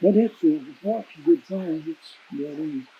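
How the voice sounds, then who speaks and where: A man's high-pitched voice with lively intonation and a Southern Appalachian accent, against noticeable background noise. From East Tennessee, Roan Mountain area. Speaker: old time musician, former constable. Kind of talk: interview answer.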